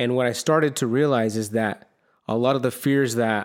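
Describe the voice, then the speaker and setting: In a normal speaking voice with fairly even intonation, the speaker keeps a moderate pace on a very clean recording with a silent background. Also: man. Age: 30s. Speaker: solo podcast host. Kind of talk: personal monologue on self-help. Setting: solo video recording on camera. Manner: casual, with frequent fillers and repetitions.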